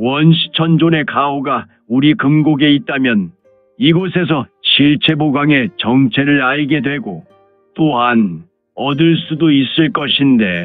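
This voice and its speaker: A man's put-on character voice, fairly high-pitched with lively intonation, at a fairly slow pace over faint background music. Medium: audio drama. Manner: chuckling, musing to himself.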